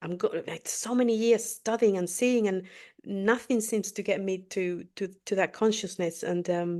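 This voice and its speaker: Against a quiet background, a woman with a non-native accent speaks at a moderate pace and medium pitch, her tone dark and mellow and her intonation fairly even. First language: not English. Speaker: spiritual podcast co-host. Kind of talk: interview. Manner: halting.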